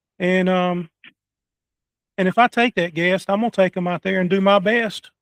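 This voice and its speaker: With a Southern US accent, a man speaks in a high pitch. His intonation is fairly even, and the sound is dry and close with no echo. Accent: southern rural drawl. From North Carolina. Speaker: podcast host. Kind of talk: casual interview chat. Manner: halting, many fillers.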